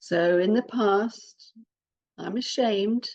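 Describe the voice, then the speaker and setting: Here a woman speaks with a British accent. Her pitch is fairly high, with ordinary variation. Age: 60s. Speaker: parenting coach, adoptive mother. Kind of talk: podcast talk to listeners.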